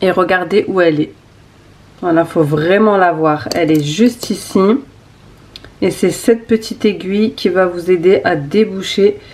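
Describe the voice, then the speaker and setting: A woman talks fairly slowly and with fairly even intonation, noticeable background noise behind her. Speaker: lifestyle vlogger, stay-at-home mother. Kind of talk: casual vlog tutorial. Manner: hesitant, many fillers.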